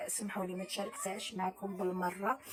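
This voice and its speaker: A woman speaks at a moderate pace. Her medium-pitched voice is somewhat breathy. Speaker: cooking vlogger. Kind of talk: casual vlog talk. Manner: halting.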